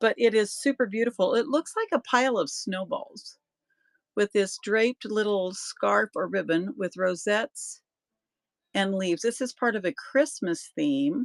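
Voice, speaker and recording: In an ordinary speaking voice, a woman talks at a moderate pace with a fairly high pitch and lively intonation, recorded with a dry, close sound and no echo. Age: 60s. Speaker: online auction seller. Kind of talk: live sales stream. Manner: casual, chatty.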